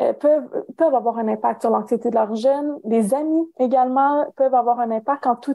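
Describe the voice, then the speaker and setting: Speaking at a moderate pace with a Canadian French accent, a woman uses a high pitch with ordinary variation. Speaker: career counsellor and professor. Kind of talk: interview. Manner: hesitant, many fillers.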